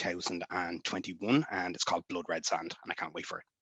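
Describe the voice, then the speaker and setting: A man with an Irish accent, very deep and low in pitch, bright and sharp in tone, fairly even and fairly quick, in a dry, close sound with no echo. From Ireland. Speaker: author and former army reservist. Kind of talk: convention panel discussion. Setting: live-streamed online panel.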